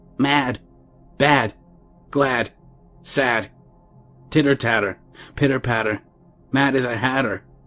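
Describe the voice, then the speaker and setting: Faint music plays in the background as a man in a put-on character voice, shrill yet medium in pitch, moves at a fairly slow pace with long, frequent pauses. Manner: teasing, sing-song.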